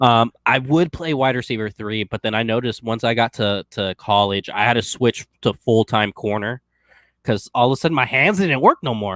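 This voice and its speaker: A man's normal speaking voice, medium in pitch, at a moderate pace, with a dry, close sound and no echo. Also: ordinary pitch variation, very clean recording, silent background. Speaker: sports podcast host. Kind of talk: casual chat.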